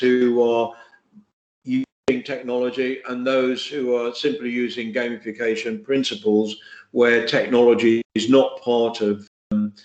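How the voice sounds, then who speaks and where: Delivered at a fairly slow pace, the speech has monotone, flat intonation. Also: man. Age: 70s. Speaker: digital health expert, conference speaker. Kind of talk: interview. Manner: halting, many fillers and repeats.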